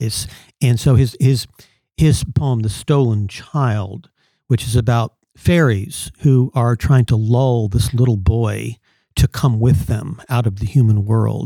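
A man talks at a very slow pace in a medium-pitched, somewhat breathy voice. His tone is dark and mellow, with ordinary pitch variation. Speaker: panel guest. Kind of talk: casual discussion. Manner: hesitant, repeating words.

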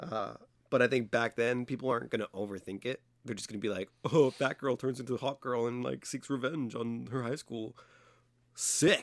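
Playful, fairly quick speech from a man at medium pitch, with vocal fry and fairly even intonation, in a very clean recording with a silent background. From San Diego, California. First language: Spanish. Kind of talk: casual chat. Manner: joking, playful.

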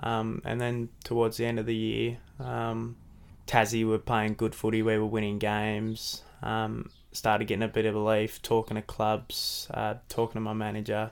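The man's intonation stays monotone and flat. He talks at a moderate pace. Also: medium pitch for a man. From Devonport, Tasmania. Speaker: AFL footballer. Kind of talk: casual interview chat. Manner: softly spoken, shy.

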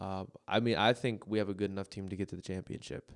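Someone with an American accent talks at a very fast pace in a dry, close sound with no echo. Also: man. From Minneapolis, US Midwest. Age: 20s. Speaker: podcast co-host and college basketball player. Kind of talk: casual chat. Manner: animated.

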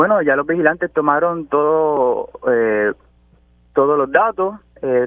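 Ordinary in pitch variation, a man speaks with a fairly high pitch. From Puerto Rico, Utuado area. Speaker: agronomist, farmer. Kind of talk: radio interview. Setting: phone call.

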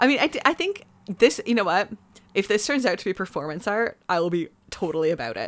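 A woman's medium-pitched voice in a Canadian accent, very fast, with very wide pitch swings. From Canada. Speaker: podcast co-host. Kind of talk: casual chat.

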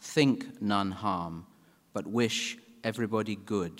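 A man speaks at a very slow pace. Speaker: priest giving the opening prayer. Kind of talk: fervent invocation prayer. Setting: conference stage with audience. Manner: solemn, formal, measured; fervent, reverent.

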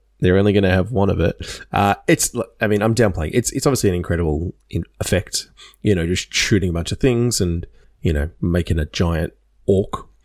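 Here a man with a normal speaking voice talks fairly quickly at a fairly low pitch, with ordinary pitch variation. The recording is very clean and dry, close with no echo, against a silent background. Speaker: podcast co-host. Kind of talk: casual chat.

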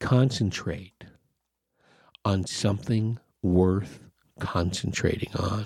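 Very slow and broken by long, frequent pauses, a man's somewhat breathy speech keeps a fairly even intonation. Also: fairly low pitch for a man. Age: 50s. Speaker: podcast host. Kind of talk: solo podcast monologue, casual rant. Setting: home recording, solo at mic. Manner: earnest, exasperated, urging listeners to unplug and focus on the positive.

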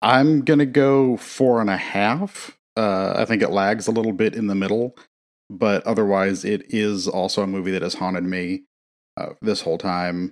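An unremarkable speaking voice from a man, fairly low in pitch with ordinary pitch variation, at a moderate pace in a very clean recording with a silent background. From US Midwest. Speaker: podcast co-host. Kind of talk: casual chat. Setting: home recording.

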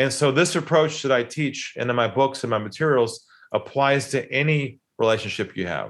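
With an American accent and a normal speaking voice, a man talks at a moderate pace and medium pitch with ordinary pitch variation in a very clean recording with a silent background. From San Diego, California. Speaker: sales trainer and author. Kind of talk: casual interview conversation.

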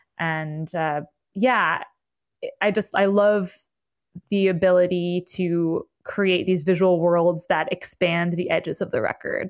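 In a very clean recording with a silent background, a woman with an American accent speaks in a monotone, flat way at a fairly low pitch. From US Northeast, Berkshires, Western Massachusetts. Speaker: musician. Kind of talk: interview.

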